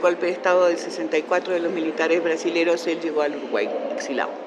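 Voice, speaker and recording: A woman talks at a very fast pace with a fairly low pitch. Audible room echo and noticeable background noise surround her. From Argentina, Buenos Aires. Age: 70s. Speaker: education scholar. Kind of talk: interview.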